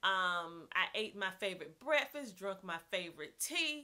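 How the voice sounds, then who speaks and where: With a strong Southern US accent, a woman talks at medium pitch and a moderate pace in an animated, bright, sharp tone. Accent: heavy Southern US. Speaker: homeschooling mom vlogger. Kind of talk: casual vlog talk. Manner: animated, chatty.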